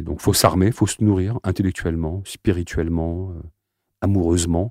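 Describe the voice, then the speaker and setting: A man's very deep, low voice, dark and mellow in tone, fairly even in intonation and fairly quick in pace, with a dry, close sound with no echo and a very clean recording with a silent background. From France, Aubervilliers (Seine-Saint-Denis), Algerian family. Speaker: slam poet. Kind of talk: interview.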